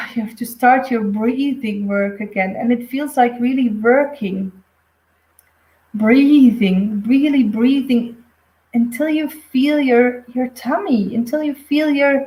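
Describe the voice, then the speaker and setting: A woman with a Flemish accent speaks very slowly in a high, dark, mellow voice with ordinary pitch variation. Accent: Flemish Dutch accent in English. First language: Dutch. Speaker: intuitive medium. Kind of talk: live stream reading. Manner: halting.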